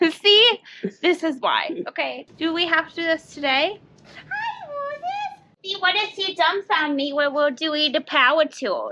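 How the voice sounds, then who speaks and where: With a raised, projected voice, a woman speaks at an extremely high pitch and a fairly slow pace, her intonation lively. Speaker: co-host learning woodworking. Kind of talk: casual banter during a DIY tutorial. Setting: home workshop. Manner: talking loudly over ear protection; hesitant, halting.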